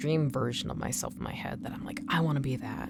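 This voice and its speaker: Audible room echo and noticeable background noise accompany a woman speaking. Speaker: artist streamer and voice performer. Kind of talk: casual chat. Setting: live stream.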